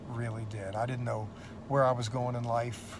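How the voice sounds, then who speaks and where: A man with an American accent speaks at a medium pitch and a fairly quick pace, sounding somewhat breathy. His intonation is monotone and flat, and the room echo is audible. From United States. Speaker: seminary professor. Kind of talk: testimony. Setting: in a police car. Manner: casual, with many fillers.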